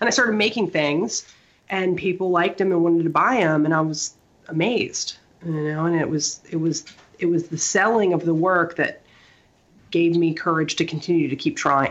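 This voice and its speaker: A woman speaks at a moderate pace in an ordinary speaking voice, fairly low in pitch with ordinary pitch variation. Her loudness stays very even. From small-town US Midwest and South. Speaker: artist and interior designer. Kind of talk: casual chat. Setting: in the room with co-host. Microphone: poor sound quality from mic problem.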